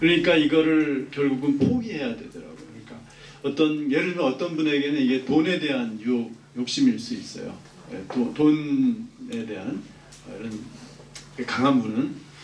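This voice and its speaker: This man's fairly high voice swings very widely in pitch and jumps a lot in loudness. He talks at a moderate pace, with audible echo from the room. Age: 60s. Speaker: professor. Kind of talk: Q&A talk at a book event. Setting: lecture room with audience. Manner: halting, with many fillers.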